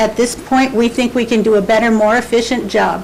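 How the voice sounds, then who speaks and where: A woman speaks in a fairly high pitch with ordinary variation. Audible room echo and noticeable background noise are present. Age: 60s. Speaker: nonprofit volunteer. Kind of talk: public comment at council meeting. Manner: halting.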